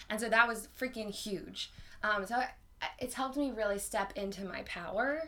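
Over noticeable background noise, a woman with an American accent talks at a moderate pace, her fairly high pitch showing ordinary variation. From North Carolina. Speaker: podcast host. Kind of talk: casual chat.

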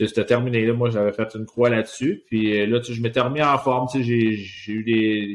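At a moderate pace, a man speaks in a medium pitch. His intonation is monotone and flat. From Quebec, Laval. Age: 40s. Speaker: retired hockey player. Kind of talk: casual interview.

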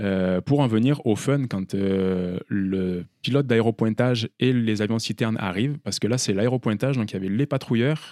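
A man talks at medium pitch and a moderate pace with ordinary pitch variation and a dark, mellow tone. The recording is very clean with a silent background, and the sound is dry and close with no echo. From southeastern France (Vaucluse village). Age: 30s. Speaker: bush and firefighting pilot. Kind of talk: casual interview.

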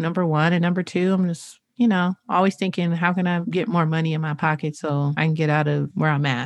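In a very clean recording with a silent background, a woman with an unremarkable speaking voice talks at a fairly quick pace and fairly low pitch, with hardly any pauses. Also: fairly even intonation. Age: 30s. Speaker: podcast co-host. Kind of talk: casual chat.

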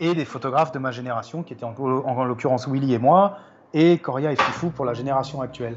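A man with a medium-pitched voice and ordinary pitch variation speaks at a very fast pace. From Paris, France. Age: 50s. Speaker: hip-hop photographer. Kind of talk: casual interview chat. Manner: halting, many repetitions.

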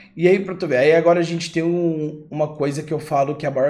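Noticeable background noise surrounds a man talking at a very fast pace. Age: 20s. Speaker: gaming YouTuber and podcast host. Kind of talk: casual chat. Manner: animated.

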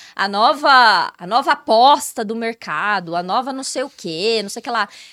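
Her bright, sharp tone sits at a high pitch, and the woman speaks at a fairly slow pace in a very clean recording with a silent background. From Brazil, Ribeirão Preto. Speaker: model. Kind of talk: casual chat.

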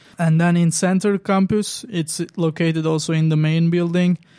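With a Turkish accent, a man speaks at a high pitch on a very clean recording with a silent background. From Turkey. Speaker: student organizer. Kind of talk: interview.

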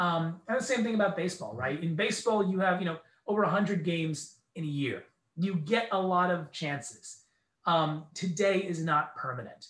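A man's high-pitched voice with an American accent and ordinary pitch variation. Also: moderate pace. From New York, US. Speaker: TV news reporter. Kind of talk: interview.

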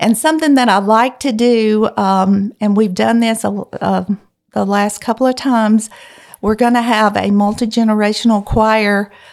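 Speaking fairly slowly with a Mississippi accent, a woman keeps her fairly high voice at a fairly even intonation. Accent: Southern US (Mississippi). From US South, rural northeast Mississippi. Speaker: church music leader. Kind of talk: interview about faith and life. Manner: halting, many fillers.

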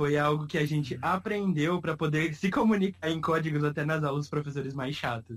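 Speaking at a fairly quick pace with hardly any pauses, a man with a fairly high pitch sounds somewhat breathy and uses ordinary pitch variation. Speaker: podcast host. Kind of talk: casual chat.

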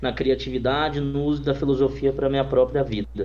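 Noticeable background noise accompanies this man as he talks at a moderate pace. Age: 20s. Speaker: entrepreneur and designer. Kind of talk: interview.

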